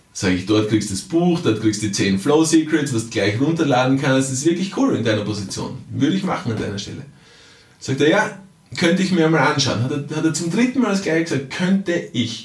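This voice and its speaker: A man with a fairly high pitch speaks at a fairly quick pace, his pitch swinging very widely. Noticeable background noise and audible room echo fill the recording. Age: 40s. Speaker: time management coach and author. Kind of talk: podcast monologue. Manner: conversational with frequent fillers.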